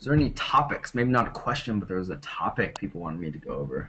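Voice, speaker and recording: A man with an American accent, at a fairly quick pace. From United States. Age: 20s. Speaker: English teacher presenting a webinar. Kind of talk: webinar presentation and Q&A. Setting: online webinar. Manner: casual, with many fillers.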